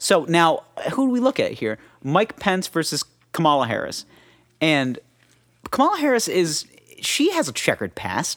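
This man speaks in a high voice with very wide pitch swings, keeping a moderate pace broken by long, frequent pauses. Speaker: podcast host. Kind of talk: casual banter podcast. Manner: joking, comedic.

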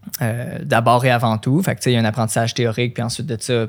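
A man speaks with a Quebec accent in a very clean recording with a silent background. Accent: Québécois French. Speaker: running coach and elite runner. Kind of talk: casual interview.

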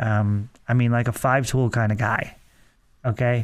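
On a very clean recording with a silent background, a man has an unremarkable speaking voice at a medium pitch with fairly even intonation. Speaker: radio host. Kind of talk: casual sports talk radio chat. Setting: radio studio.

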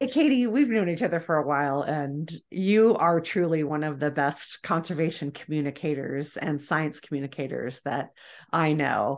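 Ordinary pitch variation comes through at a moderate pace over a quiet background. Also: woman, very deep, low pitch for a woman. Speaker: podcast host. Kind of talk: casual interview.

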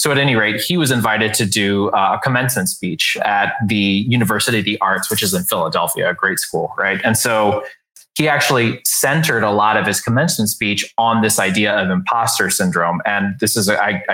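A man's plain, everyday voice with an American accent, at a fairly quick pace with very even loudness and hardly any pauses. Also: medium pitch for a man, ordinary pitch variation. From US South, San Antonio, Texas. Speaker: author and leadership coach. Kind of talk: casual interview.

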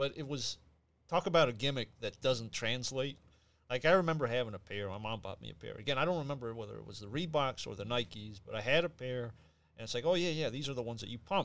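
A man speaks at a very fast pace with lively intonation and big swings in loudness. The recording is very clean, with a silent background. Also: medium pitch for a man. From Puerto Rican heritage. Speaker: ballroom dancer, podcast guest. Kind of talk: casual chat.

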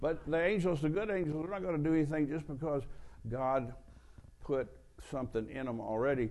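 Here a man talks at a fairly quick pace with lively intonation. His tone is dark and mellow. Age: 70s. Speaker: traveling preacher. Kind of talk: sermon. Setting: church with audience.

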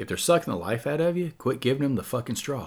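On a very clean recording with a silent background, a man with a medium pitch sounds somewhat breathy and uses lively intonation. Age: 50s. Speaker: recovery podcast host. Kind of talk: solo monologue, motivational talk. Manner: casual, halting with many fillers.

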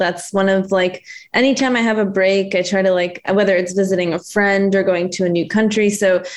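A woman talks at a medium pitch and a moderate pace. It is an ordinary speaking voice. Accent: American. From Connecticut and New Jersey, US Northeast. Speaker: integrative health pharmacist and entrepreneur. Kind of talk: casual interview chat.

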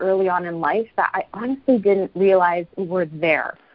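A woman at medium pitch and moderate pace, a plain, everyday voice. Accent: Canadian. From Canada, Calgary, Alberta. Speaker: life coach and real estate broker. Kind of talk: casual interview conversation.

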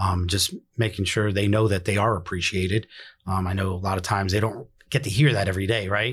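Very fast and somewhat breathy, a man with a New York accent speaks at a fairly low pitch with fairly even intonation and very even loudness, in a very clean recording with a silent background. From New York City (Bronx). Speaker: emergency dispatch director. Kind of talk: casual interview.

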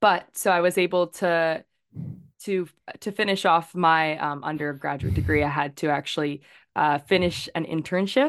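A woman has a normal speaking voice with a Canadian accent, fairly low in pitch with ordinary pitch variation. The background is quiet. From Victoria, British Columbia, Canada. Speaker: journalist. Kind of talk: interview.

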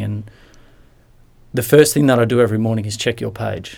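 This man has an Australian accent. He speaks at a moderate pace. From rural Western Australia (Lake Grace). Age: 30s. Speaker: former footballer, mental health advocate. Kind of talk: interview.

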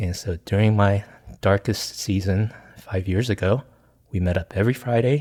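On a very clean recording with a silent background, a man with an American accent speaks at a fairly low pitch and moderate pace, somewhat breathy and dark and mellow in tone, with ordinary pitch variation. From US, small town. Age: 50s. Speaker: pastor and consultant. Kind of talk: casual interview.

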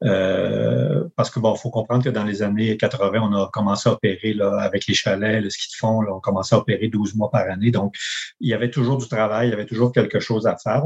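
A man with a fairly low pitch, vocal fry, ordinary pitch variation and a fairly quick pace. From Quebec, Charlevoix (Baie-Saint-Paul). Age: 50s. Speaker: campground owner and engineer. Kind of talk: interview conversation.

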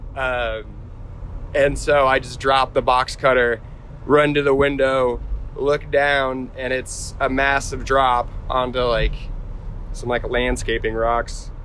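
A man speaks at a very slow pace in monotone, flat intonation, with long, frequent pauses. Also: medium pitch for a man. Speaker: friend of the snowboarder. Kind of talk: casual storytelling.

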